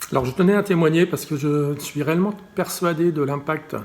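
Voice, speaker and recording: A somewhat breathy man at a fairly quick pace. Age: 60s. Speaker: patient advocate. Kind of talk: testimony. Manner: halting, many repetitions and fillers.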